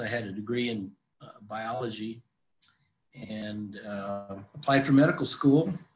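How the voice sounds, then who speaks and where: Somewhat breathy, a man's voice carries fairly even intonation. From US Southwest, Phoenix, Arizona. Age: 70s. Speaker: physician. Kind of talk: oral history interview. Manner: many fillers and hesitations.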